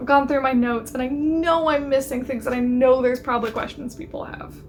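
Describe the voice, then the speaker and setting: Over noticeable background noise, a woman with a high voice speaks very fast in a monotone, flat intonation. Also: big swings in loudness. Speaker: lifestyle YouTuber. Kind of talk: casual video monologue.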